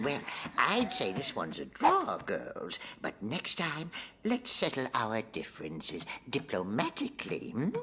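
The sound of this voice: A cartoonish character voice at a low-to-middle pitch, with clear background noise. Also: moderate pace.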